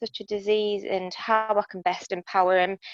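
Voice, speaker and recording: A woman speaks at a moderate pace with a British accent and flat, monotone intonation. The sound is dry and close, with no echo. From UK. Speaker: support group participant, sibling of patient. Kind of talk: casual chat.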